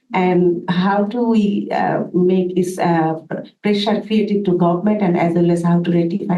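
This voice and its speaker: A woman speaks at a moderate pace with a fairly low pitch. Audible room echo surrounds her voice. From Bangladesh. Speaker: audience member, labor activist. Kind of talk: audience question. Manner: halting.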